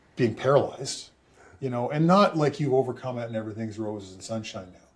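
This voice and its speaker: A man speaks with a Canadian accent at a fairly quick pace. His voice is somewhat breathy. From Canada. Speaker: former pro football player and public speaker. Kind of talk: casual chat.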